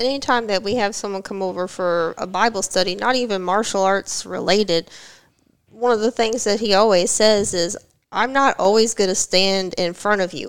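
Moderately paced speech from a woman with an unremarkable speaking voice, mid-range in pitch, with typical pitch movement. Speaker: martial artist and graduate student. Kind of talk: casual podcast interview.

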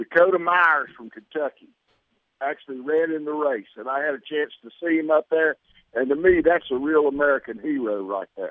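A man speaks in an unremarkable speaking voice, at a moderate pace with fairly high pitch. His loudness swings widely while his pitch varies in an ordinary way. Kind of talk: casual sports chat. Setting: phone call.

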